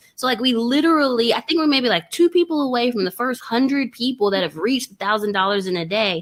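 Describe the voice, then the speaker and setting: The voice races along at a very fast pace with hardly any pauses, in a Texas accent. Its intonation is lively and its tone animated. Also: woman, high pitch for a woman. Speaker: online trading course creator. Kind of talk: interview.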